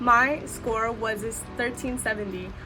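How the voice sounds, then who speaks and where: A woman with an American accent, with music in the background and audible room echo. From US West Coast, Southeast Los Angeles. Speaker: student vlogger. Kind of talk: casual vlog talk to camera.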